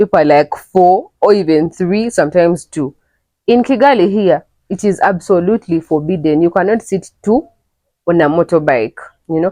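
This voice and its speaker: In a Ugandan accent, the speaker has a dark, mellow tone and lively intonation, moving at a moderate pace in a dry, close sound with no echo. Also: woman, fairly low pitch for a woman. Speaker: travel vlogger. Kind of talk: casual vlog talk to camera. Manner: animated.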